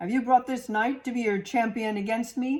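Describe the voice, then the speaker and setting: A female-sounding voice puts on a character voice, pitched high. The pace is moderate. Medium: read story. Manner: haughty, condescending.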